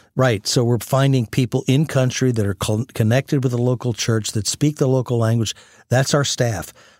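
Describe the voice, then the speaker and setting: A man with an American accent speaks in a normal speaking voice at medium pitch and a moderate pace, with fairly even intonation and very even loudness, in a very clean recording with a silent background and a dry, close sound with no echo. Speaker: ministry president. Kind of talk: fervent prayer. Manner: earnest, warm, reverent.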